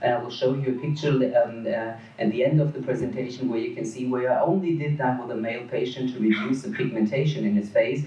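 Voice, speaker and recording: At a fairly quick pace, a man talks at medium pitch with ordinary pitch variation, over noticeable background noise and audible room echo. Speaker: dermatologist. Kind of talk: conference lecture. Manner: fast.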